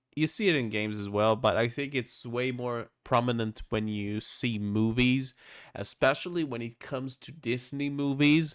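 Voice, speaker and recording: A man at a moderate pace with a non-native accent, medium pitch and ordinary pitch variation, on a very clean recording with a silent background. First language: not English. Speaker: streamer reacting to videos. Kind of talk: casual reaction commentary. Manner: halting, self-correcting.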